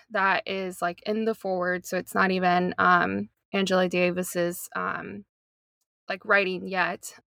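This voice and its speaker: A woman at a medium pitch, dry and close with no echo, music in the background. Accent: American. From US South, North Carolina. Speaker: social justice advocate. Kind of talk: casual chat.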